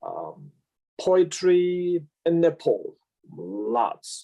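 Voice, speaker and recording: The speaker is a man. He talks with a Tibetan accent. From Amdo, eastern Tibet. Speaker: Buddhist teacher. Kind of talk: interview, life story. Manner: halting, many fillers.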